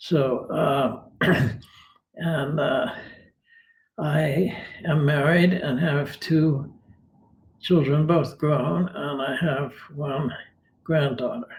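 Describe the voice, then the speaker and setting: A man's somewhat breathy, fairly high-pitched voice, very slow with long, frequent pauses and fairly even intonation, in audible room echo. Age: 80s. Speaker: retired philosopher. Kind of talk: interview. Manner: halting.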